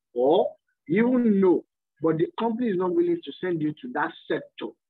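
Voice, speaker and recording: This man's pitch rises and falls very widely. He speaks at a fairly quick pace. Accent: Nigerian. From Nigeria. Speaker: course participant. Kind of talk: class discussion.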